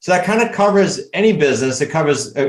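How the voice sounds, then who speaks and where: A man speaks here. He has a New England accent. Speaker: real estate coach. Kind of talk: interview. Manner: animated.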